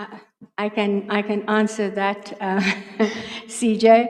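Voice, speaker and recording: A woman is speaking. Her pitch is fairly high. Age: 60s. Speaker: judge. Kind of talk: job interview. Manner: halting.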